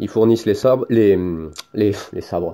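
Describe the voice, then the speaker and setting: A man with a Toulouse accent speaks with ordinary pitch variation on a very clean recording with a silent background. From France. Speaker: product reviewer, hobbyist YouTuber. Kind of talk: tutorial. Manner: casual, hesitant with fillers.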